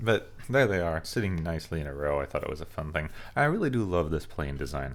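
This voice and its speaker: A man's very deep, low voice at a very fast pace, with lively intonation. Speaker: gaming video creator. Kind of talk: gameplay commentary. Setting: home recording in a small apartment. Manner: animated.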